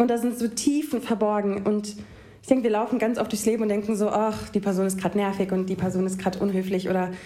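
Very fast speech comes in a dark, mellow tone. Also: woman. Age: 20s. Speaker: poetry slammer. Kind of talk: reading aloud; casual chat.

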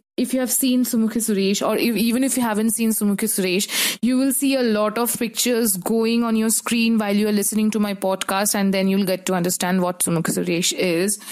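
The speech runs at a fairly quick pace with hardly any pauses, amid noticeable background noise. Loudness stays very even and intonation fairly even. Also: woman, fairly high pitch for a woman. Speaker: podcast host and TV series reviewer. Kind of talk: solo review podcast. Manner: casual, with frequent fillers and restarts.

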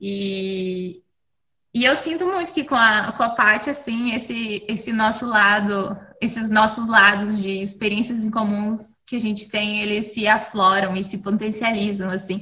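This woman speaks in a normal speaking voice at a fairly slow pace, her pitch fairly high with ordinary variation. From Brazil. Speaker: podcast co-host. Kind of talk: casual chat.

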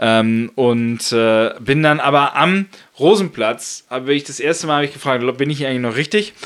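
A man with a fairly high pitch talks at a moderate pace with ordinary pitch variation, in an ordinary speaking voice. The recording is very clean, with a silent background. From northern Germany (Lower Saxony, Buxtehude). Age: 30s. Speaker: politician (member of European Parliament). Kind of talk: casual interview. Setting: home kitchen studio.

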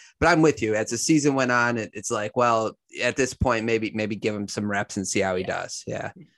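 This is an unremarkable speaking voice with ordinary pitch variation. The sound is dry and close, with no echo. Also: man, medium pitch for a man. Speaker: sports podcast host. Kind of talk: casual sports chat interview. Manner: casual, conversational.

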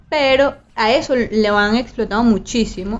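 Her pitch is fairly high and her intonation fairly even as this woman talks in a normal speaking voice. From Venezuela. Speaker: podcast co-host. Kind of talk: casual chat.

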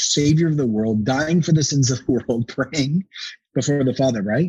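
This man's somewhat breathy voice sits at a fairly high pitch, with an animated tone, ordinary pitch variation and a moderate pace. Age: 40s. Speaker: pastor. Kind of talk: casual chat.

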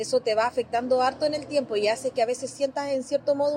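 Recorded dry and close without any echo, she speaks in a high-pitched female voice. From northern Chile (Azapa Valley). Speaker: Afro-Chilean community member. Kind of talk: testimony.

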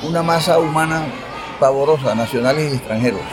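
With crowd noise behind him and audible room echo, a man talks at a moderate pace in a fairly high pitch with ordinary pitch variation. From Colombian Caribbean, Fundación (Magdalena). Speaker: teacher and local historian. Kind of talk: interview, historical storytelling.

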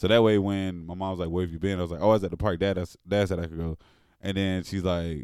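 The man's voice is very deep and low. He talks at a very fast pace with monotone, flat intonation. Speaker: podcast host. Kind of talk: casual chat.

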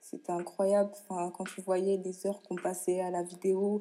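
A woman talks in an unremarkable speaking voice at a medium pitch. Her pace is moderate. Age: 20s. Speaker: professional handball player. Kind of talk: interview.

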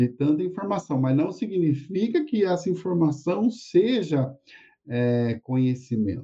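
Speaking fairly slowly, a man uses a fairly high pitch with very wide pitch swings. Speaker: university lecturer and interviewer. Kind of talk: live-streamed academic interview. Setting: live stream.

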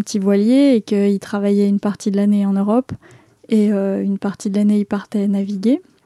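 In a medium pitch, a woman speaks with monotone, flat intonation and a dark, mellow tone, the sound dry and close with no echo. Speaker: travel podcaster. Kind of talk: narrated travel diary. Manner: casual, hesitant in Q&A.

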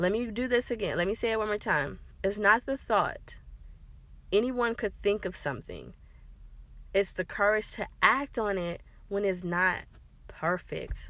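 This woman talks at a moderate pace in a medium pitch, with ordinary pitch variation and a bright, sharp tone. Her speech has long, frequent pauses. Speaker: podcast host, digital marketer. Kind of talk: solo podcast monologue. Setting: in a car. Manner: casual, filler-heavy.

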